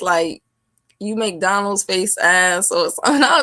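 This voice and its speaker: On a very clean recording with a silent background, a woman with an American accent speaks fairly slowly at a medium pitch in a bright, sharp tone. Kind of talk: casual chat.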